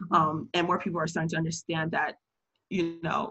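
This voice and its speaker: This woman speaks very fast with an American accent. Vocal fry runs through her voice. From United States. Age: 20s. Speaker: friend of the host. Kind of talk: casual discussion. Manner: articulate.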